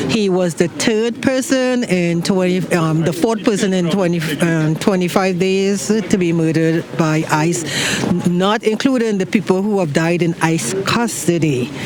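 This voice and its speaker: Noticeable background noise behind a fairly slow voice with a non-native accent and ordinary pitch variation. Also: man, high pitch for a man. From outside the US. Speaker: vigil attendee. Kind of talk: street interview. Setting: outdoors. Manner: halting.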